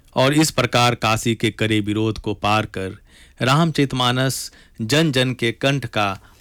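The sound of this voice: The pitch moves in an ordinary way through an unforced reading voice.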